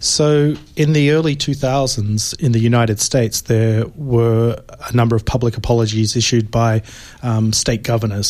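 A man with an Australian accent talks at a moderate pace and medium pitch. His intonation is fairly even and his loudness very even. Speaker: philosophy professor. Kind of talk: radio interview. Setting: radio studio.

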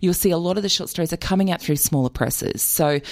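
An Australian accent colors the voice. It belongs to a woman. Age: 40s. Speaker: author. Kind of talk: radio interview.

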